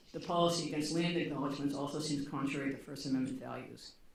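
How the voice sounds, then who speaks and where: Noticeable noise fills the background. The talking runs at a very fast pace. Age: 60s. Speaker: retired law professor. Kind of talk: conference talk; reading aloud. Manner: halting.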